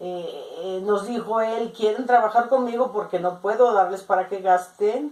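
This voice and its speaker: A woman's fairly high voice at a fairly slow pace over noticeable background noise. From Mexico, Jalisco. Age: 60s. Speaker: interviewed grandmother. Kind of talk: oral history interview.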